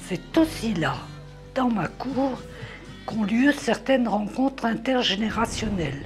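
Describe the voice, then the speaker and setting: Music plays in the background as the speech moves at a very slow pace with long, frequent pauses. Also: woman, fairly high pitch for a woman, lively intonation. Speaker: nursing home resident. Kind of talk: documentary voice-over narration.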